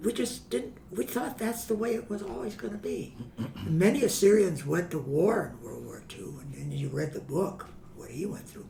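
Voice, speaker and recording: A man with an American accent, high in pitch, speaks at a moderate pace with very wide pitch swings, amid noticeable background noise and audible room echo. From US Midwest, Chicago. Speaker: family historian guest. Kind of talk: interview storytelling.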